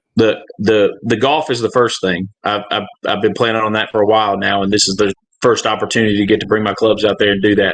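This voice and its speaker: A man speaks at a fairly low pitch with a Southern US accent. His pace is very fast. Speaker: gambling podcast guest. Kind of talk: casual chat.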